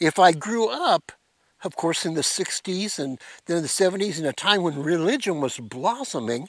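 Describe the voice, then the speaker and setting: The sound is dry and close, with no echo. The speech moves at a moderate pace with lively intonation. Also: man, high pitch for a man. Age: 60s. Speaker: pastor. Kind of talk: devotional talk. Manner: halting.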